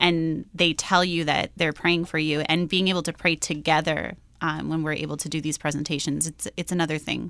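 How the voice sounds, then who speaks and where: A woman with a Midwestern American accent, very deep low pitch, vocal fry and a bright, sharp tone, at a moderate pace in monotone, flat intonation, over a quiet background. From US Midwest, Iowa. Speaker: missionary teacher. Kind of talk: interview. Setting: studio.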